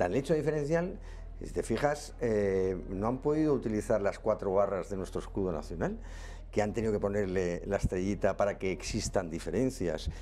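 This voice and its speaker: A man speaks at a moderate pace with a Catalan accent. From Catalonia. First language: Catalan (speaking Spanish). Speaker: political candidate. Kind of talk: political interview. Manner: halting.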